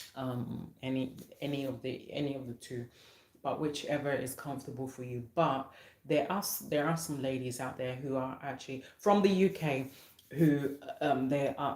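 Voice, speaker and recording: In a dark, mellow tone, a woman speaks at a moderate pace with a very deep, low pitch. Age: 30s. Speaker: online talk show host. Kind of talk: live stream chat. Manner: halting, many repetitions and fillers.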